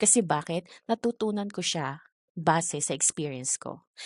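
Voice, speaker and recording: A soft-spoken woman with a calm tone and fairly low pitch talks at a fairly slow pace with lively intonation, the sound dry and close with no echo over a quiet background. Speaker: ESL teacher trainer. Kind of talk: online training session. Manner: calm, soft-spoken.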